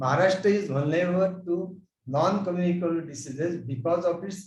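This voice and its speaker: A man with a fairly high pitch talks at a moderate pace with ordinary pitch variation and audible room echo. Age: 70s. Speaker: physician. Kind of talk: conference presentation.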